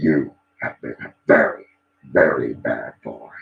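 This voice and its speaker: In a put-on character voice, the speaker growls with a sinister tone. The pace is fairly slow. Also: man. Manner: demonic, sinister, scolding.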